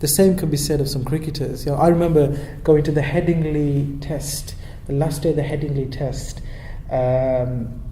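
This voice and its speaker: A man's monotone, flat intonation amid noticeable background noise and audible room echo. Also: fairly high pitch for a man, moderate pace. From Birmingham, England. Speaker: local councillor. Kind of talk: interview. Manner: hesitant, many repeated words.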